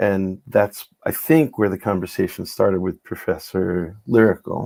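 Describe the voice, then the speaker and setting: The man's voice has a dark, mellow tone. Its pitch sits fairly low. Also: ordinary pitch variation, moderate pace. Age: 60s. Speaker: psychiatrist and spoken word organizer. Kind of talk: casual chat.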